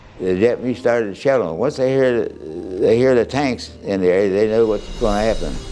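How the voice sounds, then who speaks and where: A man with an American accent talks at a moderate pace, with hardly any pauses, at a medium pitch and with ordinary pitch variation. Noticeable background noise sits behind him. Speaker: war veteran. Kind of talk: interview answer.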